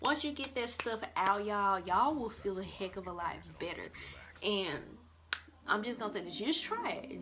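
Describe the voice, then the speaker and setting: A woman at moderate pace and medium pitch, with music in the background. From Mississippi, USA. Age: 20s. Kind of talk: casual talk to camera. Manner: casual, conversational.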